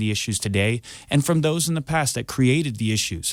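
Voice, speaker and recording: On a very clean recording with a silent background, a man of medium pitch speaks in an ordinary speaking voice with an American accent at a fairly quick pace. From California Central Valley foothills. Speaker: political candidate. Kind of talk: radio debate.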